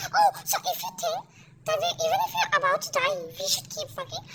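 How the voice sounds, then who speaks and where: At a fairly quick pace, this squeaky voice sits at an extremely high pitch. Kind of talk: casual let's-play commentary. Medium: game stream. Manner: teasing, chatty, playful.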